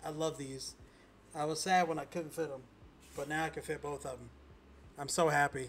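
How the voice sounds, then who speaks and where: Somewhat breathy, monotone speech with flat intonation and long, frequent pauses. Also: man, fairly high pitch for a man. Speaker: streamer recovering from a stroke. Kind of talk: casual chat. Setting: livestream. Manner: halting.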